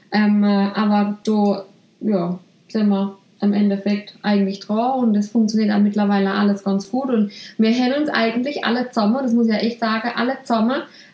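At a moderate pace, a woman with a medium pitch and a dark, mellow, somewhat breathy tone keeps her intonation fairly even. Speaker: salon owner and podcast host. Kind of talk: casual chat.

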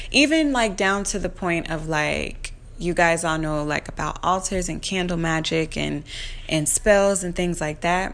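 A woman at a fairly slow pace with ordinary pitch variation, in audible room echo. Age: 30s. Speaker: podcast host, tarot reader and astrologer. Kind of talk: casual monologue. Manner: conversational with many fillers.

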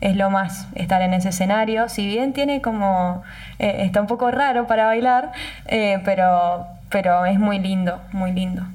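The somewhat breathy voice moves at a fairly slow pace with very even loudness and audible room echo. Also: woman, medium pitch for a woman, ordinary pitch variation. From Argentina, Mendoza (Tupungato). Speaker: wine festival queen, journalist. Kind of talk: casual interview.

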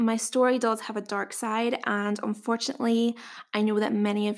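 A woman in a Northern Irish accent, fairly high in pitch, with fairly even intonation and a moderate pace, on a very clean recording with a silent background. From Northern Ireland. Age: 20s. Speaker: dietitian and podcast host. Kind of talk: scripted-style solo podcast introduction.

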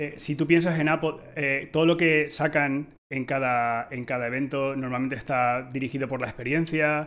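In a normal speaking voice, a man talks at a moderate pace with fairly high pitch, fairly even intonation and hardly any pauses. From Spain. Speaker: tech podcast host, designer. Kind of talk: casual panel discussion.

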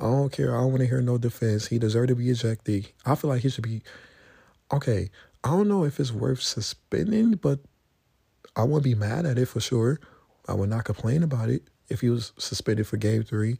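A man's somewhat breathy, medium-pitched voice holds a very even loudness with ordinary pitch variation. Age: 20s. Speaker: solo podcaster on basketball and rap. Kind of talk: casual solo commentary. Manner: halting, many fillers.

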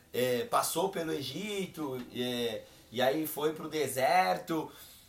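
A man's fairly high-pitched voice is heard along with noticeable noise in the background. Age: 30s. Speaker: podcast co-host.

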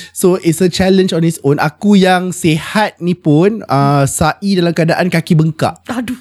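Over music in the background, a man speaks at a high pitch and a fairly slow pace with hardly any pauses and ordinary pitch variation, the sound dry and close with no echo. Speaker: religious teacher and pilgrimage guide. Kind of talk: casual chat. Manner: animated.

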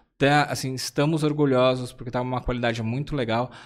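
In a plain, everyday voice, a man talks at a moderate pace and medium pitch on a very clean recording with a silent background. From São Paulo, Zona Leste (Sapopemba). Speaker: UX design consultancy CEO and association president. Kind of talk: casual chat. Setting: live-streamed podcast.

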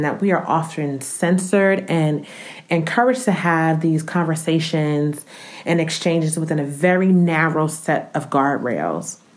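Audible room echo surrounds a speaker with an American accent talking at a fairly slow pace. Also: woman. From US Northeast, Newark, New Jersey. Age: 30s. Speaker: podcast host. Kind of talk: scripted podcast monologue.

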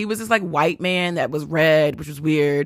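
A woman with a very deep, low pitch speaks at a moderate pace in an American accent. The recording is very clean with a silent background and a dry, close sound with no echo. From Texas. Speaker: podcast host. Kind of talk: solo podcast monologue, casual storytelling. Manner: casual, conversational, fillers.

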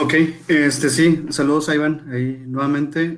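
A man speaks at a fairly slow pace in a flat monotone, on a very clean recording with a silent background. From Monterrey, northern Mexico. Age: 30s. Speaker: psychologist and project manager. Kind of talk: casual discussion. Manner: halting, frequent fillers.

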